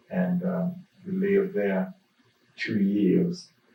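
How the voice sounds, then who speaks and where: A man with an Alabama accent speaks at a very slow pace, his medium-pitched voice somewhat breathy. His pitch swings very widely. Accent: US South, Alabama. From Birmingham, Alabama. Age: 80s+. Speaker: pastor. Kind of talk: oral history interview. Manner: halting, many fillers.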